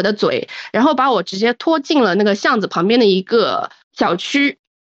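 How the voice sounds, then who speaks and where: The voice moves through very wide pitch swings, recorded with a dry, close sound and no echo. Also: woman. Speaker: listener sharing a story. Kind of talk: casual storytelling.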